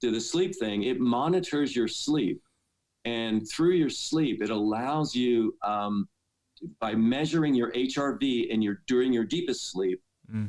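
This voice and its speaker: A man with an ordinary speaking voice at medium pitch, ordinary pitch variation and a fairly slow pace. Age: 60s. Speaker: dentist and fitness athlete. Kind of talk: podcast interview answer.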